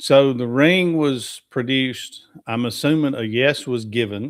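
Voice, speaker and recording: A man with a Southern US accent talks at a very slow pace, his medium pitch moving with ordinary variation. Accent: US South. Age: 60s. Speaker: livestream host. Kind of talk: casual chat. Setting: livestream.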